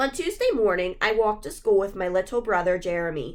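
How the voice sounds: This is a natural reading voice. The text is read aloud.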